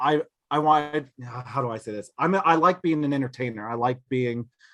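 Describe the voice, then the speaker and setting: This man's tone is bright and sharp. He talks at a moderate pace with ordinary pitch variation. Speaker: card collector and streamer. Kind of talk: podcast interview. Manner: loud.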